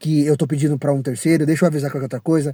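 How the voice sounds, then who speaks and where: Very fast, somewhat breathy delivery with a dark, mellow tone on a very clean recording with a silent background. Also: man. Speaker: rideshare driver vlogger. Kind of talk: casual rant monologue. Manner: animated.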